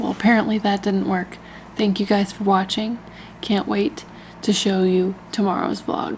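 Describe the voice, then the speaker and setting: Noticeable background noise sits behind a woman at a medium pitch. Her intonation is monotone and flat, and her pace is moderate. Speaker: travel vlogger. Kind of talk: casual vlog talk.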